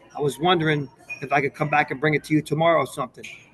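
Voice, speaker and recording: A man is talking with an American accent. Noticeable background noise can be heard. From Newburgh, New York (Hudson Valley). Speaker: actor. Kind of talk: casual interview, storytelling. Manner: animated.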